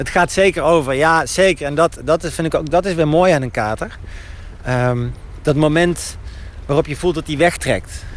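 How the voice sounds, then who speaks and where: Against noticeable background noise, a man with a fairly high pitch speaks at a moderate pace with ordinary pitch variation. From Netherlands, Eindhoven. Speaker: novelist. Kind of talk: casual interview while walking. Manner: halting, many repetitions.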